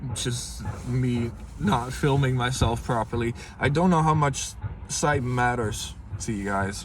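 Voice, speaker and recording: A man of medium pitch with a Dutch accent and ordinary pitch variation, plus audible room echo and noticeable background noise. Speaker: vlogger. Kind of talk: casual vlog. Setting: inside a car. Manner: halting, many fillers.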